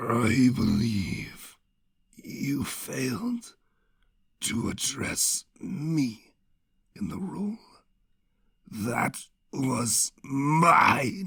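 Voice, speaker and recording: A man's put-on character voice, raspy and medium-pitched, very slow with long, frequent pauses and lively intonation. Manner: slow, from the darkness.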